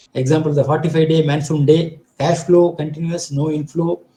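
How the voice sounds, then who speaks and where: A man speaks at a fairly quick pace in a fairly high pitch, his tone dark and mellow and his intonation monotone and flat. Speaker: project management expert. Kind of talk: lecture. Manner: fast; halting.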